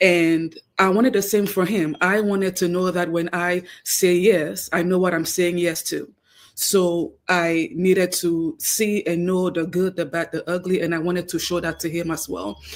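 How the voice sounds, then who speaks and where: With a Cameroonian accent, a woman speaks at a moderate pace and a fairly low pitch, her intonation fairly even. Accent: noticeable Cameroonian. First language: Cameroonian native tongue, also French. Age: 30s. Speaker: guest, wife. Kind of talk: radio interview.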